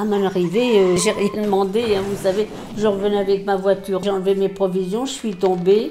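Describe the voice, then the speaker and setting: The room echo is audible and there is noticeable background noise. A woman speaks at a medium pitch. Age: 90s. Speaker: retirement home resident. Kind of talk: interview testimony.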